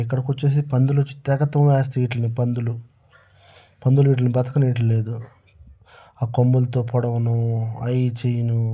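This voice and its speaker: In a flat monotone, a man speaks with a dark, mellow tone that is somewhat breathy. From Andhra Pradesh, India. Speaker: soldier and vlogger. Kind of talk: casual vlog narration. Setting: outdoors at night in the cold. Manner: halting.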